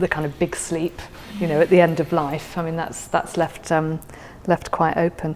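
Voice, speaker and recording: A woman speaks at a fairly low pitch and moderate pace with monotone, flat intonation. Noticeable background noise runs underneath. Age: 50s. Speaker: guest sharing a favourite poem. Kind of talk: casual conversation about poetry. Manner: halting, many fillers and repeats.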